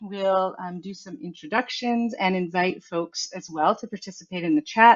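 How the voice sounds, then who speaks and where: A woman talks at a moderate pace in a medium-pitched, ordinary speaking voice. Her intonation is lively. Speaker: workshop facilitator. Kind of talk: online workshop presentation. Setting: online video conference.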